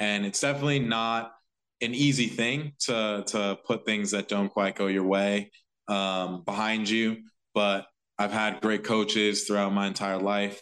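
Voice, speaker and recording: In an ordinary speaking voice, a man speaks at a moderate pace and a fairly low pitch against a quiet background. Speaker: professional soccer player. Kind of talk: interview answers. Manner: measured, reflective.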